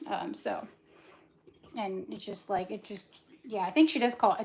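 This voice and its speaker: A woman's voice at medium pitch. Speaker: livestreamer. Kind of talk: casual chat. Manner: animated.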